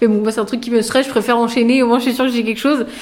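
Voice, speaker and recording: Noticeable background noise surrounds a woman whose voice is fairly high. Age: 20s. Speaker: recruiter. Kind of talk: interview.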